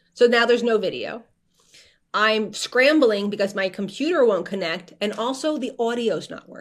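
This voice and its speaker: The speaker has a New Jersey accent and big swings in loudness. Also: woman, fairly high pitch for a woman, lively intonation, moderate pace. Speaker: media strategist. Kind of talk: casual chat.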